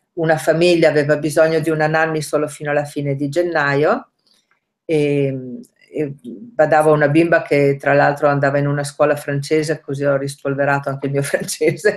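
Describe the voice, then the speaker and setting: A woman's very deep, low voice at a moderate pace, with fairly even intonation and a quiet background. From northern Italy, Rovereto (Trentino); Trentino, Italy. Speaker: language learner, nanny; interviewee. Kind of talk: interview. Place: kitchen. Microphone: webcam.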